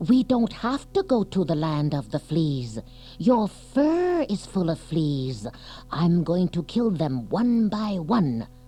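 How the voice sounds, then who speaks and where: Delivered at a fairly slow pace, the put-on character voice sits at a middle pitch. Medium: read story.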